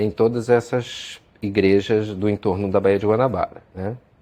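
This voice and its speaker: A man speaks with a fairly low pitch and ordinary variation. His pace is fairly slow. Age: 40s. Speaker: history teacher and historian. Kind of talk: interview. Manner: hesitant, with frequent fillers.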